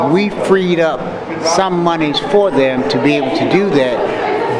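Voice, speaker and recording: Crowd noise in the background behind a fairly slow pace and ordinary pitch variation. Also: man. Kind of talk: interview answer. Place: hall. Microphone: handheld.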